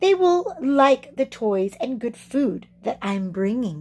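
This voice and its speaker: A woman does a put-on character voice with a high pitch and very wide pitch swings. She goes at a fairly slow pace. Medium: read story.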